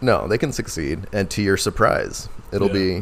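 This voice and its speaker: The man here has a fairly low pitch. Noticeable background noise runs behind him. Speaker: comedian, podcast co-host.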